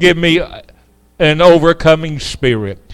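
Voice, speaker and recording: Against a quiet backdrop, a man speaks very slowly. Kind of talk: sermon and prayer. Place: church.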